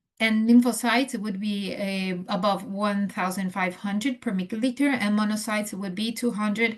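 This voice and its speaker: Speaking at a moderate pace with a non-native accent, a woman sounds somewhat breathy, her intonation fairly even. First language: not English. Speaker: nurse educator. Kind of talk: lecture. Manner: halting, many fillers.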